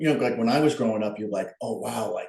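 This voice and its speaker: A man is speaking. He has a Long Island accent. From Long Island, New York. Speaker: artist. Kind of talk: casual chat.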